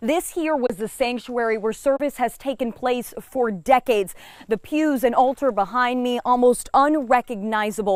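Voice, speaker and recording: With a high pitch, a woman talks using ordinary pitch variation. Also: moderate pace. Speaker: TV news reporter and anchor. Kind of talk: TV news anchor read.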